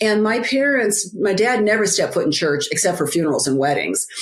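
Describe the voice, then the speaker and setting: Against noticeable background noise, a woman at a medium pitch talks at a fairly quick pace with very wide pitch swings. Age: 60s. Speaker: author and biblical life coach. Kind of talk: interview testimony. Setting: podcast interview.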